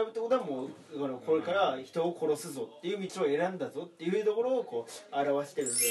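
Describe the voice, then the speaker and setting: Noticeable background noise is present. The talking is fairly quick. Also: man. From Aomori. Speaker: comedian. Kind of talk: casual chat.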